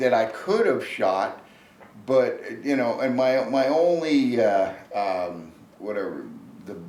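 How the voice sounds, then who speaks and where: Amid noticeable background noise and audible room echo, a man uses lively intonation at a very slow pace with long, frequent pauses. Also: medium pitch for a man. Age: 70s. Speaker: bow hunter. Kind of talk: casual interview chat. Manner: halting, many restarts and fillers.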